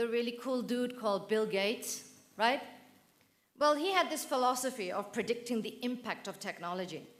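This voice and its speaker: A woman with a high voice speaks with long, frequent pauses, and audible echo fills the room. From northern England, Manchester. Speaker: professor. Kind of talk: conference keynote. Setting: auditorium with audience. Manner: animated.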